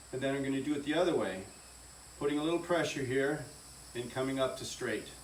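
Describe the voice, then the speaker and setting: A man talks at a very fast pace in a fairly high pitch with ordinary pitch variation, over noticeable background noise and audible room echo. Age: 60s. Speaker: fitness instructor. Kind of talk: tutorial.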